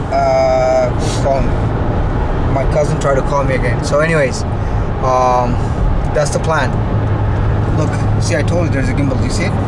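A man at a moderate pace with long, frequent pauses, against loud background noise. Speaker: travel vlogger. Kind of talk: casual vlog chat. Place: car. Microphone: phone near.

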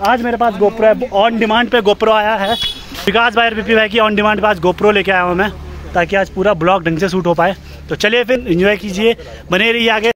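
Over light background noise, a man speaks fairly quickly at a high pitch, his intonation fairly even and loudness very even, with a dry sound and no echo. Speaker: travel vlogger. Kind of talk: casual vlog chat. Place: open country. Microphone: phone near.

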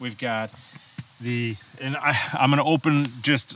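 A man with ordinary pitch variation, recorded in a dry sound with no echo. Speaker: outdoor gear reviewer. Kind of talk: casual vlog chat. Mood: relaxed, jokey. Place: forest.

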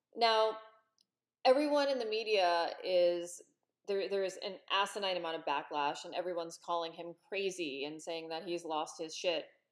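Against a quiet background, a woman speaks at a moderate pace with big swings in loudness. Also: fairly low pitch for a woman, ordinary pitch variation. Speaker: political commentator vlogger. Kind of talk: opinion commentary. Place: home room. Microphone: webcam.

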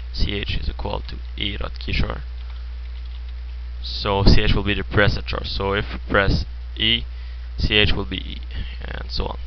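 Against noticeable background noise, the speech carries lively intonation. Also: man. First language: French. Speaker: programming tutorial creator. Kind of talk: screen-recorded coding tutorial. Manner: hesitant, many filler words.

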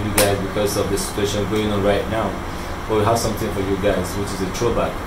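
Noticeable background noise accompanies a man's talking. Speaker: comedy channel host. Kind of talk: casual vlog chat. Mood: earnest, pleading. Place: street. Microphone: phone near.

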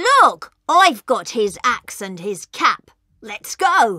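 A man puts on a character voice at an extremely high pitch, bright and sharp in tone, with big pitch swings. He speaks at a slow pace, and the sound is dry and close with no echo.

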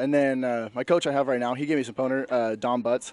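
This is a man talking. His sound is dry with no echo at all. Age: 20s. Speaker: bodybuilding competitor. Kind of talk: post-competition interview. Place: hall. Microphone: handheld.

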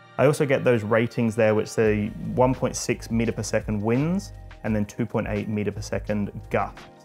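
Faint music plays in the background. A man speaks with fairly even intonation. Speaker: drone channel host. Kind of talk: tutorial. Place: home room. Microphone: lapel.

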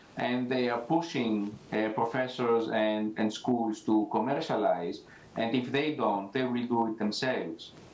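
A man talks at a fairly slow pace and a medium pitch, with ordinary pitch variation. Room echo is audible. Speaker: entrepreneurship center director; remote panelist. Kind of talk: panel discussion. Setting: video call. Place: office. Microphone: new microphone with audio issues; video call.

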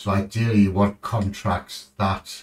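Very slowly and somewhat breathily, a man with a British accent speaks at a fairly low pitch. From United Kingdom. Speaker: gaming streamer. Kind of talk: live gameplay commentary. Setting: live stream from home. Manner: casual, rambling.

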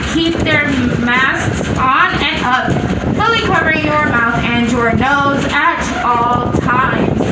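A woman speaks with audible room echo. Loud background noise surrounds her. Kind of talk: safety announcement. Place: train.

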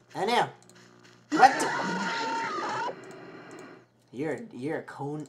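Clear music plays behind a man's voice. He speaks at a very slow pace. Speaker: gaming youtuber. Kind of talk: gameplay commentary. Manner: animated. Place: home room.

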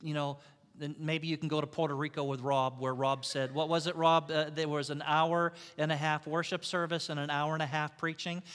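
Over a quiet background, a plain, everyday voice moves at a fairly quick pace with fairly even intonation. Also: man. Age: 50s. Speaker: pastor. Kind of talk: sermon. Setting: church. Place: church.

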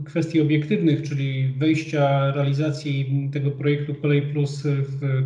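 A man's somewhat breathy voice in monotone, flat intonation, at a fairly slow pace, with audible room echo. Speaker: politician guest. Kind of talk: interview answer. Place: office. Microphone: video call.

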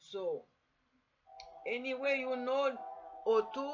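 A woman speaks with clear music in the background. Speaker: self-study tutor. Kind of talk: lecture. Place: home room. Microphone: webcam.

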